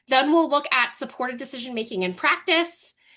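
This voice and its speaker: With a raised, projected voice and a bright, sharp tone, a woman speaks at a high pitch and a moderate pace over a quiet background. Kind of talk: webinar presentation. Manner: animated.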